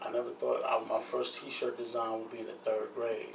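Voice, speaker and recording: A man speaks in a New York accent at a moderate pace. The room echo is audible, and there is noticeable background noise. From New York, Brooklyn (Brownsville). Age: 50s. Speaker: clothing designer. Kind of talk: casual interview chat.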